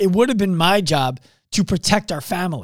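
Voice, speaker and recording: A man speaks loudly in a high voice at a moderate pace, his tone animated and his pitch variation ordinary. The recording is very clean, with a silent background. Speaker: podcast host. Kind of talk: motivational monologue.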